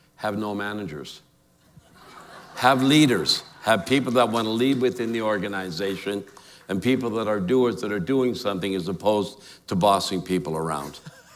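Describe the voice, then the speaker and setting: With an animated tone and a Canadian accent, a man speaks in a room with audible echo. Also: fairly low pitch for a man, ordinary pitch variation, moderate pace. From immigrant to Calgary, Canada as child (1952). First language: not English. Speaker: award honoree, entrepreneur. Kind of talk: onstage interview. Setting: stage with audience.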